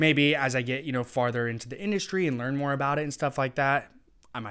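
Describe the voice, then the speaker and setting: Speaking at a very fast pace with an American accent, a man uses a medium pitch, ordinary pitch variation and a bright, sharp tone. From Eastern Washington, US. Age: 20s. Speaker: 3D printing entrepreneur. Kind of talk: interview. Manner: casual, many filler words.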